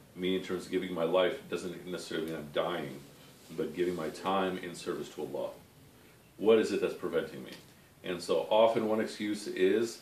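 A man talks at a fairly quick pace with big swings in loudness. Light background noise and audible room echo are present. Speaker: religious study teacher. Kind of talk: lecture. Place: home room. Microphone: camera far.

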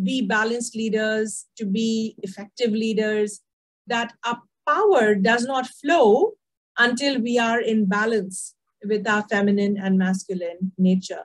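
Against a quiet background, a woman talks at a fairly slow pace in a somewhat breathy voice with fairly even intonation. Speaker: leadership coach guest speaker. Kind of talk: interview answer. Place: home room. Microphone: video call.

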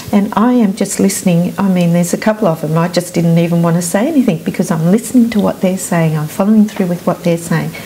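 A woman with an Australian accent at a very fast pace, ordinary pitch variation, hardly any pauses, and light background noise. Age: 60s. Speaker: EFT practitioner. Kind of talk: interview. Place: studio. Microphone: lapel.

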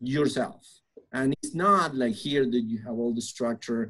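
A man with a Spanish accent speaks at a fairly slow pace. His intonation is lively, and the background is quiet. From Argentina. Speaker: construction preconstruction director; podcast guest. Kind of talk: interview conversation. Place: office. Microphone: webcam.

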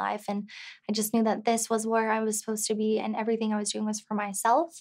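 A woman talks at a very fast pace in a fairly high pitch, her intonation monotone and flat. The background is quiet. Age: 20s. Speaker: real estate agent and single mother; interviewee. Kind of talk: interview. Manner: casual, filler-heavy. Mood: open, personal, reflective. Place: studio.

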